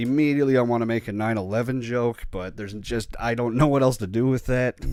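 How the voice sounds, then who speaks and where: Music plays in the background as a man talks at a very fast pace. His pitch is medium and his intonation fairly even. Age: 30s. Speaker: podcaster. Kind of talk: casual solo monologue. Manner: halting, stumbling.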